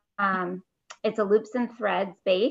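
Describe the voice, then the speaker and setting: A woman speaks at a fairly slow pace in a plain, everyday voice. Her pitch sits at a medium level and varies in an ordinary way. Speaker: knitting podcast co-host. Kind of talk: casual chat.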